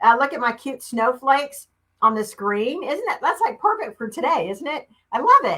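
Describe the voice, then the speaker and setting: A woman's raised, projected voice in a Southern US accent, high-pitched and animated, with very wide pitch swings and big swings in loudness. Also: moderate pace. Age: 50s. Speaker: beauty consultant. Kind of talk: live stream sales demo. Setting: live video stream.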